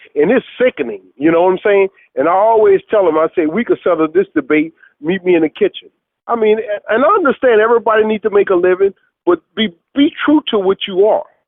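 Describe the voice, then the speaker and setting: With lively intonation, a man with a high pitch speaks in a New Orleans accent. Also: fairly quick pace. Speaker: chef. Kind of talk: interview answer.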